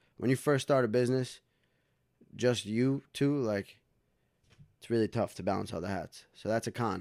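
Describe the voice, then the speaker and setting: With a New York accent, a man talks at a moderate pace with ordinary pitch variation, on a very clean recording with a silent background. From New York, Westchester County (Dobbs Ferry). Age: 20s. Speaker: recording studio owner and recording artist. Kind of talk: casual interview chat.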